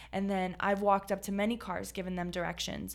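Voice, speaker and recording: A woman talks at a very fast pace. Her voice has vocal fry. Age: 30s. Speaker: podcast host. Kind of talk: casual chat.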